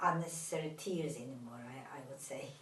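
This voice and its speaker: A woman speaks with a Turkish accent. The room echoes audibly, and background noise is noticeable. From Turkey. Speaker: therapist. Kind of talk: interview. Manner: halting, many fillers.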